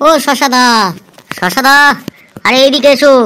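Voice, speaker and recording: A woman's high, cartoonish character voice with fairly even intonation. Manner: deferential salesman, calls customers babu.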